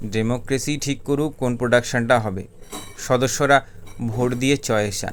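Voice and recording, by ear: This is reading aloud in a natural voice. The words are read out in that way.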